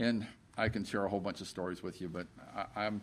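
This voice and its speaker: This man has a plain, everyday voice with a fairly low pitch and fairly even intonation. He talks at a fairly quick pace in a very clean recording with a silent background. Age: 60s. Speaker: company CEO. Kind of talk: interview. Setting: company office.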